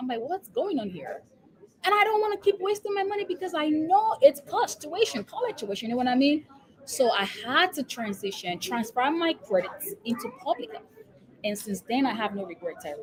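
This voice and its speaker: Talking at a fairly quick pace with a Nigerian accent, a woman uses a high pitch with very wide pitch swings and big swings in loudness. Noticeable background noise runs underneath. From Nigeria, Lagos. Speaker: epidemiologist and business coach. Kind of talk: interview. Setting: live stream.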